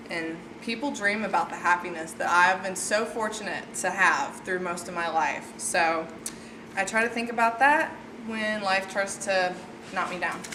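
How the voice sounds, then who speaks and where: A woman with a medium-pitched voice talks at a moderate pace. Audible room echo and noticeable background noise surround her. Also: ordinary pitch variation. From Tennessee, near Nashville. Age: 20s. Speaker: college student. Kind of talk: class speech; Q&A answer. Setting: classroom with audience. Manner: loud; animated.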